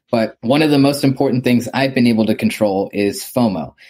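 A man talks at a medium pitch and a moderate pace, with ordinary pitch variation. He has a plain, everyday voice. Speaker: podcast host. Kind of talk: casual interview.

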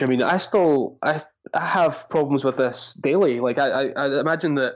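A plain, everyday voice from a man, fairly high in pitch with ordinary pitch variation, over a quiet background. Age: 30s. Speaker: content marketing educator. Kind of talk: podcast interview.

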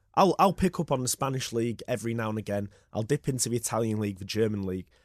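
With a Yorkshire accent, a man talks at a very fast pace in a dry, close sound with no echo and a quiet background. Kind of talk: casual sports chat. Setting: studio.

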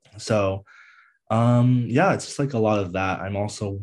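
A man's ordinary speaking voice, fairly low in pitch, with an American accent, a moderate pace and a quiet background. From US East Coast, Northern Virginia. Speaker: content creator and mental health advocate. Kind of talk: casual interview.

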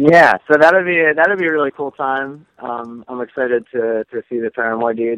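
An unremarkable speaking voice, heard with a dry, close sound and no echo. The pace is moderate and the pitch varies in an ordinary way. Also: man. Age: 30s. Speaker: musician. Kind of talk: casual chat.

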